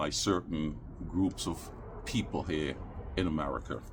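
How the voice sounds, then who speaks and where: A man with a Caribbean accent talks at a moderate pace with vocal fry. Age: 60s. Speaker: YouTuber, vlogger. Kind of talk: casual vlog monologue. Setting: outdoors in backyard.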